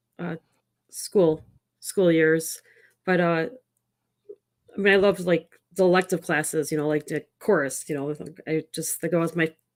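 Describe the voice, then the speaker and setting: With a Chicago accent, a woman speaks at a fairly low pitch and fairly even intonation, pausing long and often. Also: moderate pace. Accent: Chicago American English. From Chicago area, US Midwest. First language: Italian. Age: 40s. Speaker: tech startup founder. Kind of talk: podcast interview.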